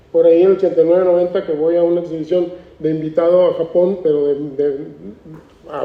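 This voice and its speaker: Noticeable background noise sits behind a man's high-pitched voice. He talks at a fairly quick pace. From Mexico, Tijuana (Baja California border). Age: 60s. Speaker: artist. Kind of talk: interview at a book presentation.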